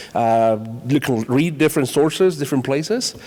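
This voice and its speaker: A man talks at a fairly quick pace with a Spanish accent and a fairly high pitch. His pitch varies in an ordinary way, and noticeable background noise sits behind him. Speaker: high school Spanish teacher. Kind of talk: panel discussion.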